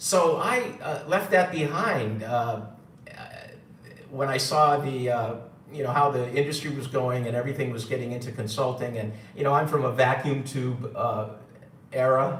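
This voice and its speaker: Over noticeable background noise and audible room echo, a man with a New York accent speaks at a medium pitch and a moderate pace. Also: ordinary pitch variation. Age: 60s. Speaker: gold seller and former radio engineer. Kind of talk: live stream talk. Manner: halting, many fillers.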